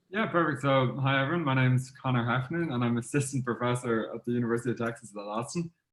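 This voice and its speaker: Very fast and with hardly any pauses, a man talks at a medium pitch. His loudness is very even, and his pitch variation is ordinary. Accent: Irish. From Ireland. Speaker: professor. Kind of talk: academic video call discussion. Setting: video call.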